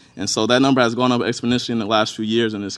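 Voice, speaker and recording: A man speaks in a fairly low voice against a quiet background. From Inkster, Michigan, near Detroit. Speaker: state legislator. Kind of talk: conference talk.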